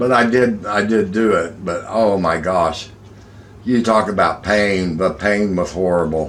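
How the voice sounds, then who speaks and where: A man's fairly low voice, with ordinary pitch variation, carries an audible room echo. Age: 50s. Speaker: vlogger. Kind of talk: casual chat.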